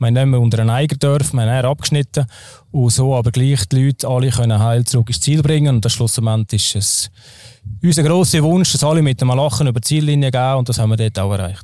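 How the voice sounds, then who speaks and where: A man speaks at a very fast pace with very even loudness. His tone is dark and mellow, at a medium pitch with ordinary pitch variation. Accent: slight Zurich. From Switzerland, Zurich. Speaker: mountain guide and trail race organizer. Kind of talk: casual interview. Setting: outdoors on hotel terrace.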